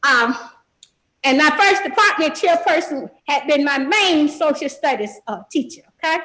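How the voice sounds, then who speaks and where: A woman's high-pitched, raised, projected voice with a bright, sharp tone and lively intonation. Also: moderate pace. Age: 70s. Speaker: party in a court case. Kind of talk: court testimony. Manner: animated, rambling with frequent fillers.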